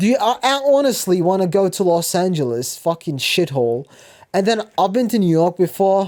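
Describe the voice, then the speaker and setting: This man speaks with an American accent and an animated tone. His pitch swings very widely. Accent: sounds American. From Turkey. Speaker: vlogger. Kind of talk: casual storytelling monologue. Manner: halting.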